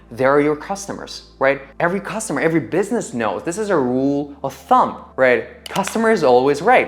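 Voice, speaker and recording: A non-native accent at a fairly quick pace, with hardly any pauses and very wide pitch swings. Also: man, fairly high pitch for a man. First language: not English. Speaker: content creator. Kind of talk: motivational talk to camera.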